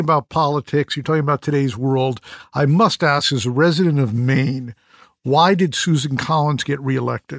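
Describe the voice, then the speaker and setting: On a very clean recording with a silent background, a man with a normal speaking voice, fairly high pitch and ordinary pitch variation talks at a fairly quick pace. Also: dry, close sound with no echo. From Connecticut (Fairfield). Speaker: podcast host. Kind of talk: interview conversation.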